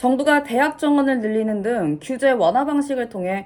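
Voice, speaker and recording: A woman speaks at a moderate pace in a high voice. Her pitch swings very widely. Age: 20s. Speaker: aspiring news announcer. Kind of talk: news reading practice. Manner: formal.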